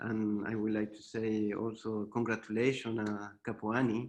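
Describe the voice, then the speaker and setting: This man has a Chilean accent. He talks at a fairly slow pace. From Chile, Santiago. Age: 40s. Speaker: visual artist. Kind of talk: artist presentation. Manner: halting, hesitant.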